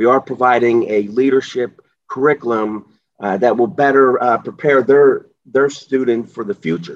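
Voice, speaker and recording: Speaking in an ordinary speaking voice with an American accent, a man holds a medium pitch, ordinary pitch variation and a moderate pace. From Pittsburgh area, US. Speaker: JROTC instructor, retired army sergeant. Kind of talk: interview.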